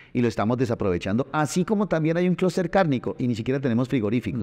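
Lively intonation marks this man's very fast speech. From Colombia, Tunja (Boyacá); Boyacá, Colombia. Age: 40s. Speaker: mayoral candidate; candidate. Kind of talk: interview; interview answer. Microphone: lapel.

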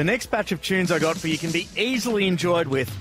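A man's fairly high voice, dry with no echo, over clear music in the background. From Australia. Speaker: radio presenter. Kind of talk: radio announcing between songs. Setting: studio. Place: studio. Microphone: studio mic.

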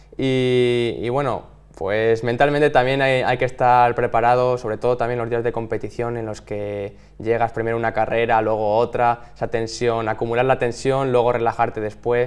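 His intonation is monotone and flat. The man keeps a moderate pace. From Spain, Salamanca province; Spain. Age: 20s. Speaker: athlete; interviewee. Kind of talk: interview. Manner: halting, with many repeated words. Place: studio.

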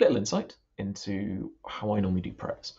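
Over a quiet background, a man talks at a moderate pace with a fairly low pitch. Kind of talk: casual spoken reflection before prayers. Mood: thoughtful, hesitant. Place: home room. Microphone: webcam.

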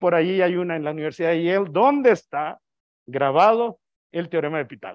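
A man talks loudly in a high voice. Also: quiet background. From Mexico. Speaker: astronomer, invited speaker; guest lecturer. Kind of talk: lecture. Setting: auditorium with audience, also streamed on video call. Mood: relaxed, humorous. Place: hall.

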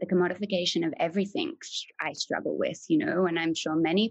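In a dry, close recording with no echo, a woman talks with an Australian accent. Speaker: artist and mentor. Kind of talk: interview conversation.

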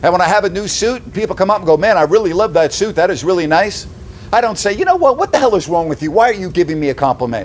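A man with a high pitch talks at a very fast pace with lively intonation. Light background noise can be heard. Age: 60s. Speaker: sports talk host; commentator. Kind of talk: indignant opinion rant delivered straight to camera; opinion rant commentary. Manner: punchy, loud, mocking rhetorical questions; sarcastic, exasperated and emphatic, building to outraged disbelief. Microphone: phone near.

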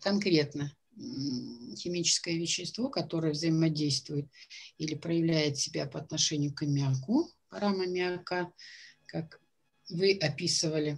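This woman's voice is very deep and low, and somewhat breathy. She talks at a fairly slow pace with ordinary pitch variation. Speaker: jury member at a student science fair. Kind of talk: questioning students after presentations. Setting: video call. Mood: calm, probing. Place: home room. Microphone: video call.

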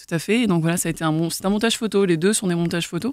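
Over a silent background in a very clean recording, a woman's fairly low voice sounds dry and close with no echo, her intonation fairly even. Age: 30s. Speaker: graphic artist. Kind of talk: casual chat.

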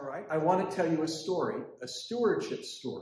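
Room echo can be heard. A man speaks at a high pitch with ordinary pitch variation. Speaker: preacher. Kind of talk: sermon. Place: church. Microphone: camera far.

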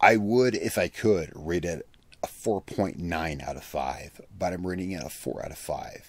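The speech moves at a moderate pace with big swings in loudness. The sound is dry with no echo. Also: man. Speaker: product reviewer. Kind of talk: casual review commentary. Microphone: studio mic.

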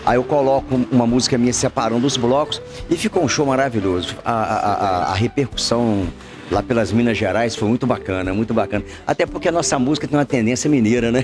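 Fairly quick speech with ordinary pitch variation amid noticeable background noise. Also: man. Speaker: guest. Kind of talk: interview answer. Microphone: handheld.

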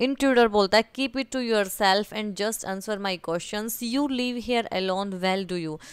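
A woman with a normal speaking voice and a fairly high pitch talks with ordinary pitch variation and hardly any pauses. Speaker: teacher. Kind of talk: lecture.

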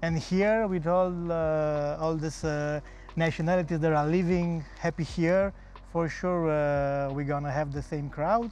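Slowish and fairly even in intonation, a man with a fairly high voice speaks in a Romanian accent, the sound dry with no echo. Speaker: festival co-founder; guest. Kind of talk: tv interview. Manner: hesitant, many fillers. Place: studio. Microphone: lapel.

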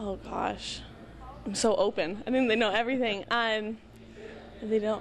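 A fairly high-pitched woman's voice with an American accent and ordinary pitch variation. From Southern California. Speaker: college volleyball player. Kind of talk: interview. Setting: athletic training center. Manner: casual.

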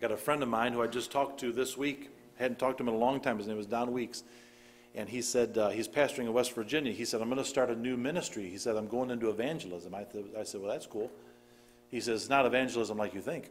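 A man talks at a very fast pace with fairly even intonation, and light background noise sits behind him. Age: 40s. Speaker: pastor. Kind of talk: sermon. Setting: church service with congregation. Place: church. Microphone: podium.

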